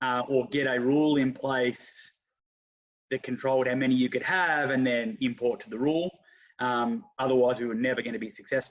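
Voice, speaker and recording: A man with an Australian accent speaks at a fairly quick pace. His pitch varies in an ordinary way. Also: medium pitch for a man. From Australia (Geelong). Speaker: football club president and coach. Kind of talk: casual interview.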